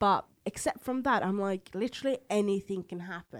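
Talking at a fairly quick pace, a woman with a Norwegian accent uses lively intonation. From Norway, Oslo. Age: 20s. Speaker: comedian. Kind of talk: casual chat.

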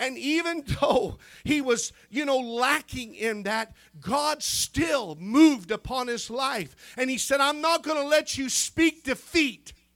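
A man's extremely high-pitched voice, fairly slow and animated, with ordinary pitch variation. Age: 50s. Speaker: preacher. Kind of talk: sermon. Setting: church.

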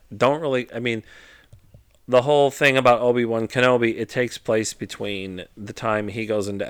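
A man's plain, everyday voice at a medium pitch, with ordinary pitch variation, on a very clean recording with a silent background. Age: 40s. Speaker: podcast co-host, father. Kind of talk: casual chat.

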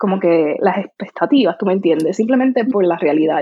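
A woman speaks with a strong Puerto Rican accent. Her intonation is lively and her pace fairly quick. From Puerto Rico. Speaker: content creator. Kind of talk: interview.

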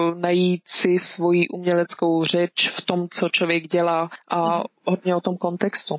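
A woman's fairly low-pitched voice. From Czech Republic, moved to Switzerland as a child. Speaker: artist. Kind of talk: casual interview.

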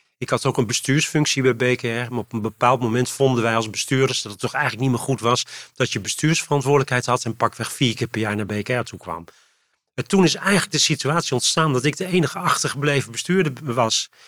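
In a very clean recording with a silent background, a man talks at a fairly quick pace, his medium pitch moving with ordinary variation. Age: 60s. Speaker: foundation CEO. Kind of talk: interview conversation. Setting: in person recording. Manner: halting.

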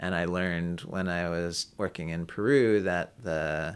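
On a very clean recording with a silent background, a man with an American accent speaks fairly slowly in a very deep, low pitch with vocal fry and ordinary pitch variation. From New York City, Manhattan. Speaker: ethnobotanist and chocolate maker. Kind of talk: interview.

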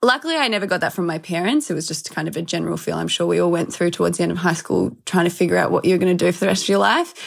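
A woman with an Australian accent talking at a very fast pace, hardly any pauses. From Australia, Melbourne. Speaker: health and fitness entrepreneur, former model. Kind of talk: interview. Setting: video call.

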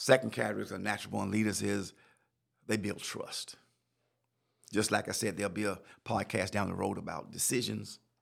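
In a Southern US accent, a man talks at a fairly quick pace in an animated tone with long, frequent pauses. The recording is very clean, with a silent background. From South Carolina. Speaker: leadership podcast host and chaplain. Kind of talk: solo podcast lecture. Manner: repetitive, stammering restarts; animated, preacher-like.

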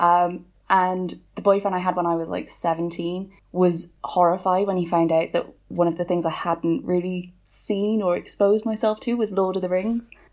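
A woman speaks with a British accent at a moderate pace and a medium pitch. She hardly pauses, and her intonation stays fairly even. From Wales. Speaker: author. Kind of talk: casual chat.

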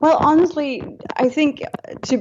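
A woman is speaking. She has a Danish accent. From Denmark. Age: young. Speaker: rock band singer. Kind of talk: interview.

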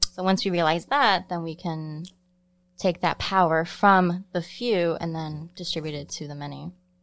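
In an American accent, a woman with an ordinary speaking voice and a fairly low pitch talks at a moderate pace over a very clean recording with a silent background. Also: ordinary pitch variation. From Chicago, Pilsen. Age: 30s. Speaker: sociology student. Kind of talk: casual chat. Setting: separate room behind plexiglass.

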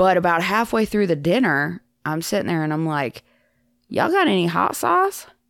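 On a very clean recording with a silent background, a woman with a fairly low pitch and a slight Southern US accent speaks at a moderate pace with lively intonation. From Iowa, US. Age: 30s. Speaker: former podcast host, returning guest. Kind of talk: casual chat.

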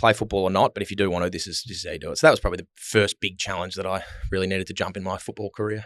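A man speaks very fast at a fairly low pitch with fairly even intonation and big swings in loudness. The sound is dry and close, with no echo. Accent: Australian. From Melbourne, Australia. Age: 20s. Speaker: retired footballer. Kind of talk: casual chat. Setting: studio.

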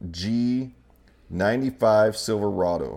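Man with an American accent and ordinary pitch variation. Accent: regional Idaho accent noticed by others. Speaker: podcast host. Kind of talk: casual chat.

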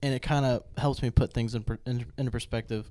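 In an ordinary speaking voice, a man talks at a fairly quick pace with fairly even intonation. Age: 20s. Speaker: podcast co-host, business owner. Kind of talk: casual chat.

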